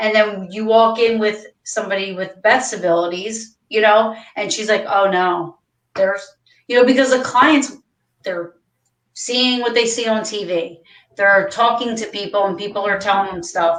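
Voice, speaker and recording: A woman with an American accent speaks at a moderate pace, fairly high in pitch. She has an ordinary speaking voice with ordinary pitch variation. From Ohio, Cincinnati. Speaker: paranormal team leader. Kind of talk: casual chat.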